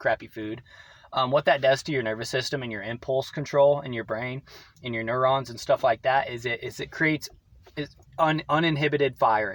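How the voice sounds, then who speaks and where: A man with a medium pitch talks at a fairly quick pace and fairly even intonation. His loudness swings widely. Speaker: vlogger. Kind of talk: casual monologue. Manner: fast.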